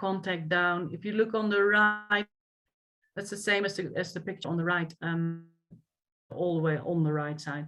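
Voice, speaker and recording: A woman with a Dutch accent and ordinary pitch variation at a moderate pace, music in the background. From Netherlands. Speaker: equestrian coach. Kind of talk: lecture.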